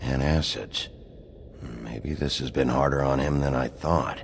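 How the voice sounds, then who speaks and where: A man puts on a character voice with a very deep, low pitch at a fairly slow pace. Clear background noise sits behind him. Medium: machinima. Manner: gruff, terse.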